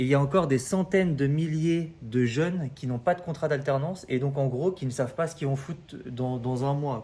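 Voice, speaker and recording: Somewhat breathy and with a dark, mellow tone, a man speaks at a fairly high pitch with ordinary pitch variation and hardly any pauses. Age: 30s. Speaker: recruitment coach. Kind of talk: casual advice talk to camera. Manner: hesitant, many fillers.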